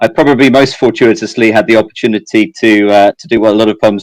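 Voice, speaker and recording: In a very clean recording with a silent background, a man with an English accent speaks very fast in a fairly low voice. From southeast England. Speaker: fintech executive. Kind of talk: interview. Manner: halting, many fillers and repetitions.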